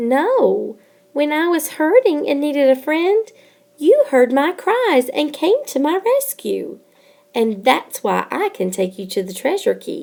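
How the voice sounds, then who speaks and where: A woman's put-on character voice, high-pitched and fairly slow, with very wide pitch swings. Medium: read story. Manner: gentle.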